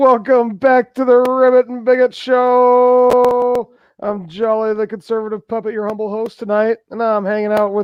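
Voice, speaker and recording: A cartoonish character voice, pitched fairly high, runs at a moderate pace. There are hardly any pauses. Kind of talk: live stream talk show. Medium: puppet.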